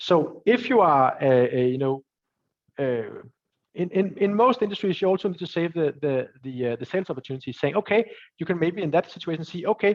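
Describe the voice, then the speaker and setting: A man speaks with a Danish accent and a high pitch. His intonation is lively. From Denmark. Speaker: entrepreneur and angel investor. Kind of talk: webinar Q&A. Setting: live webinar. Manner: halting, many fillers and repetitions.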